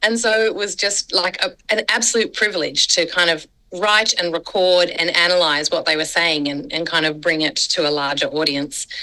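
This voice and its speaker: Speaking with an Australian accent, a woman has a fairly low pitch, ordinary pitch variation and very even loudness. She keeps a moderate pace with hardly any pauses, over noticeable background noise. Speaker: scholar and mission worker. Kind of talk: podcast interview.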